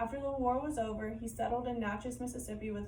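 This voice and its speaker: Background noise can be clearly noticed. The room adds audible echo. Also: woman. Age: 20s. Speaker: college student. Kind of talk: class presentation.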